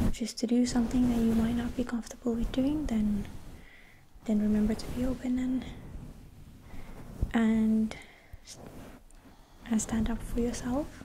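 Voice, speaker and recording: With noticeable background noise behind her, a soft-spoken woman with a fairly high pitch and a gentle tone talks at a moderate pace in a monotone, flat intonation, leaving long, frequent pauses. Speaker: ASMR creator. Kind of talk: ASMR positive affirmation pep talk. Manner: soft-spoken, gentle, reassuring.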